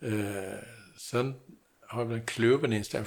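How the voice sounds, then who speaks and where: Somewhat breathy, a man with a medium pitch speaks at a moderate pace with fairly even intonation. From Sweden, Gotland. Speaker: construction industry consultant. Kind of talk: interview.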